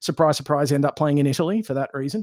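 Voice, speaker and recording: With an Australian accent and ordinary pitch variation, the voice comes through dry and close with no echo in a very clean recording with a silent background. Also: man. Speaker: podcast guest, football game enthusiast. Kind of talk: casual chat.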